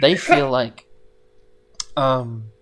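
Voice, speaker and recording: Quietly and at a very slow pace, a man talks with fairly even intonation. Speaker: podcast co-host. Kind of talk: casual chat.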